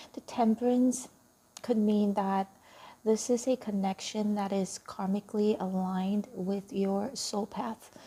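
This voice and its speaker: Soft-spoken and somewhat breathy, a woman talks at a medium pitch and a fairly slow pace, her dark, mellow tone carrying fairly even intonation. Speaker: tarot reader. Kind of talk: tarot reading.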